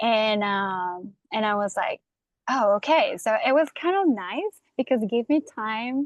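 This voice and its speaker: A woman's fairly high voice with lively intonation at a fairly slow pace, against a quiet background. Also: dry, close sound with no echo. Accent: Costa Rican. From Costa Rica. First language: Spanish. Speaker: breathwork facilitator. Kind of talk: interview. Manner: halting.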